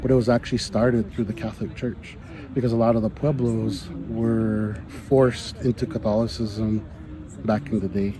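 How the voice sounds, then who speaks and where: A fairly low male voice with ordinary pitch variation amid noticeable background noise. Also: moderate pace. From Santa Clara Pueblo, New Mexico. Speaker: Pueblo hoop dancer. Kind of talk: interview answer.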